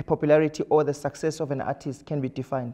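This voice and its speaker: A man speaks at a fairly quick pace in a dark, mellow tone against a quiet background. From South Africa. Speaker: social activist and interviewer. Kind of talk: interview. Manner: formal. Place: studio.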